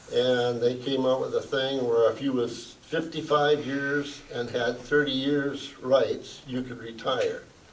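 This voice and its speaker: A man with an American accent speaks fairly slowly at a medium pitch, his intonation flat and monotone. Noticeable background noise and audible room echo surround him. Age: 80s+. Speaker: retired factory worker. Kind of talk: panel discussion. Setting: museum forum with audience.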